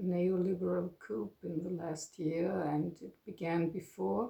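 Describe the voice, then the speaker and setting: With a German accent, a woman talks at a very slow pace in a fairly low pitch. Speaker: retired psychotherapist. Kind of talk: personal monologue. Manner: halting, many fillers.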